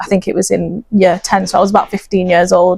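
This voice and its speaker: This is a woman speaking with a Lancashire accent. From northern England, Bolton. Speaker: optometrist and charity project lead. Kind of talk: interview. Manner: hesitant, many fillers.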